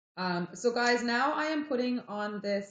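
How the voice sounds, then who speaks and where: A somewhat breathy woman with a French-Canadian accent, very slow pace and lively intonation. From Quebec, Montreal. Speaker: livestreamer. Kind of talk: casual chat. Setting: live stream.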